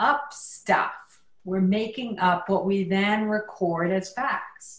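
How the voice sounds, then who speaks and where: Speaking at a very slow pace, a woman with a medium pitch and ordinary pitch variation is heard over audible room echo. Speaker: workshop teacher. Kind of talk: workshop talk. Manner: loud, projecting.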